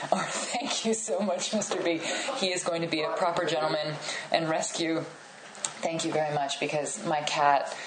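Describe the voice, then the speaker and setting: Noticeable background noise sits behind a woman speaking at a fairly low pitch with ordinary pitch variation. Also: moderate pace. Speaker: podcast host interviewer. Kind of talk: relaxed, laughing interview chat with a guest, not stand-up.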